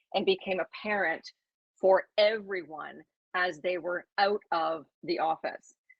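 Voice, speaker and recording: Speaking with a plain, everyday voice, a woman keeps a medium pitch and fairly even intonation. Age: 60s. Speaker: former real estate executive, panel guest. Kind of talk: panel discussion.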